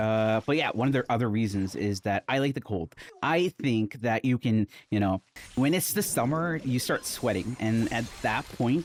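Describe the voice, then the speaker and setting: A man at medium pitch speaks at a moderate pace with lively intonation and very even loudness. The sound is dry and close with no echo, though background noise is noticeable. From India, with high school years in Calgary, Canada. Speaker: gaming streamer. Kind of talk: casual gameplay commentary. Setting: home recording studio. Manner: animated.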